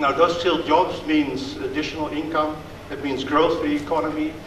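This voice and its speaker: A man with a Dutch accent at a fairly quick pace in a monotone, flat intonation, amid noticeable background noise. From Netherlands. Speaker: diplomat. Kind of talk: speech. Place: hall. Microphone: podium.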